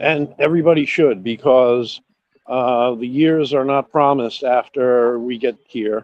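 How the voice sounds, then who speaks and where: Using a normal speaking voice, a man talks fairly slowly at a medium pitch with fairly even intonation. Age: 50s. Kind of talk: casual chat.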